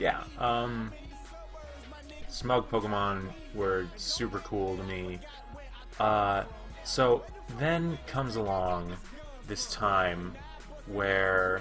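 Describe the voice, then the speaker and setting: A man's fairly low voice at a very slow pace, lively in intonation, with long, frequent pauses and music in the background. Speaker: YouTuber drawing Pokemon. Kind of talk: casual talk while drawing live.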